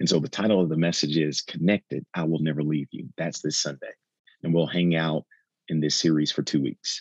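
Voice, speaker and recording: A man with an American accent speaks at a fairly quick pace in a very deep, low voice, with a dry, close sound and no echo. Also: fairly even intonation. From Texas. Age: 40s. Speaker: pastor. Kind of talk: interview conversation.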